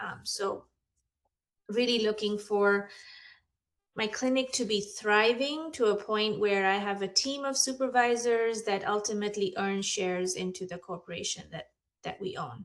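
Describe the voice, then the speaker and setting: A woman speaks at a medium pitch and a moderate pace. The recording is very clean, with a silent background. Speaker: therapy clinic owner. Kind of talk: self-introduction in group coaching session. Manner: halting, many fillers.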